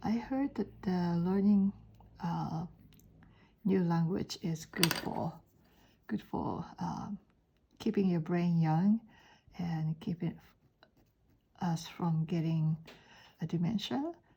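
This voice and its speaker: With a Japanese accent, a woman speaks at a very slow pace with long, frequent pauses. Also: fairly low pitch for a woman, ordinary pitch variation. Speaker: art teacher. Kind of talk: drawing tutorial. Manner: halting.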